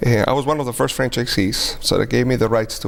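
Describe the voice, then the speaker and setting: Very fast speech over noticeable background noise. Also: man. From Europe, Spanish and German speaking household. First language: Spanish and German. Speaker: restaurant and banquet hall owner. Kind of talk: interview. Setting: TV studio.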